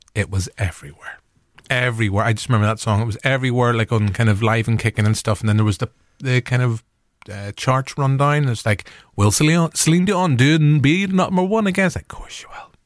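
With a Northern Irish accent, a man at medium pitch talks very fast with lively intonation, the sound dry and close with no echo on a very clean recording with a silent background. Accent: Northern Irish (Belfast). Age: 40s. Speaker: podcast host. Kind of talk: casual chat.

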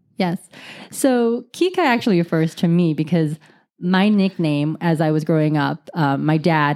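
A woman with an American accent speaks in an ordinary speaking voice, fairly low in pitch, on a very clean recording with a silent background. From Los Angeles, US. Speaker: podcast co-host. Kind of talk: casual chat.

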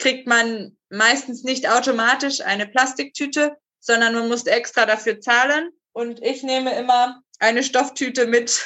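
Speaking at a fairly slow pace, a woman uses a high voice with fairly even intonation. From Hesse, Germany (Zwingenberg, near Frankfurt). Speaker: social worker. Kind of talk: interview. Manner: hesitant with many fillers.

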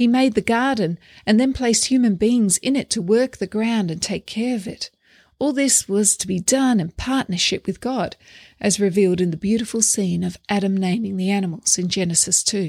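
A woman with a somewhat breathy voice at medium pitch and ordinary pitch variation is heard in a very clean recording with a silent background and a dry, close sound with no echo. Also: moderate pace. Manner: measured, steady, earnest; teacherly, reflective, formal.

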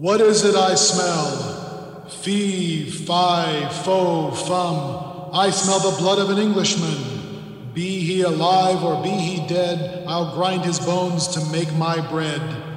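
A man does a put-on character voice, high-pitched and very slow, with a strong echo around him.

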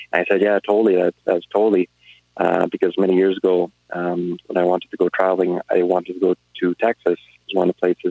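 Speaking very fast with a Canadian accent, a man has a very deep, low pitch, a dark, mellow tone, monotone, flat intonation and very even loudness in a dry, close sound with no echo. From Alberta, Canada. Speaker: rig welder. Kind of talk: casual chat.

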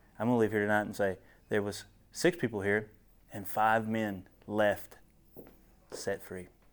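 A man with an American accent speaks at a moderate pace with long, frequent pauses. His pitch is fairly low and his intonation fairly even. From US Midwest, Ohio. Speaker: preacher. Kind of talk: sermon.

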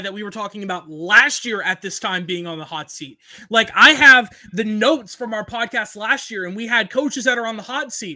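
A man with a raised, projected voice and a high pitch speaks at a moderate pace with hardly any pauses, his bright, sharp, animated tone carrying lively intonation and big swings in loudness in a very clean recording with a silent background. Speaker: sports podcast host. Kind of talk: casual sports chat. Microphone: professional mic.

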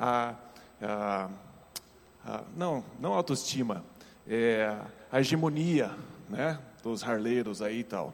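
A man talks very slowly at a medium pitch, leaving long, frequent pauses. His pitch varies in an ordinary way, and audible room echo surrounds him. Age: 50s. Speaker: pastor. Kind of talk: sermon. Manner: animated.

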